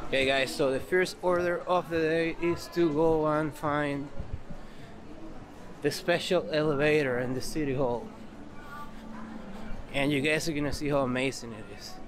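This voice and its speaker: Pausing long and often, a man speaks at a moderate pace. His intonation is fairly even, and there is noticeable background noise. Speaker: travel vlogger. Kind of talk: casual vlog chat. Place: street. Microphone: phone near.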